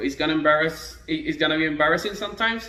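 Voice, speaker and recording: A man with a Spanish accent talks at a fairly high pitch with ordinary pitch variation. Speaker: trombone teacher. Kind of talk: tutorial. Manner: halting.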